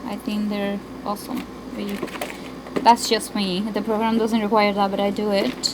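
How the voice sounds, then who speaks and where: A woman with a Spanish accent at a moderate pace, over noticeable background noise. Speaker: homeschooling parent. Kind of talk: room tour. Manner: casual, halting.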